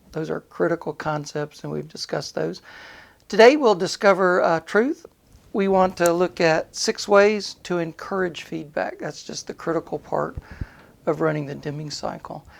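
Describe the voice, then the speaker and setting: Moderate pace on a very clean recording with a silent background. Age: 60s. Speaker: maintenance planning instructor. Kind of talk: podcast lecture. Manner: hesitant fillers.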